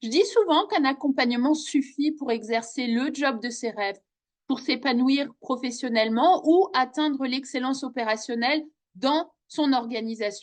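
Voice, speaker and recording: The woman's pitch sits high, with ordinary variation. She talks at a fairly slow pace. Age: 40s. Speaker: coach and trainer. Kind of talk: self-presentation video.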